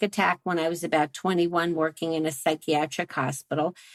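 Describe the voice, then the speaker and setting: An ordinary speaking voice with an American accent moves at a fairly quick pace. The very clean recording has a silent background and a dry, close sound with no echo. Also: woman. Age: 60s. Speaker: sex therapist and neuroscience researcher. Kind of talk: interview conversation.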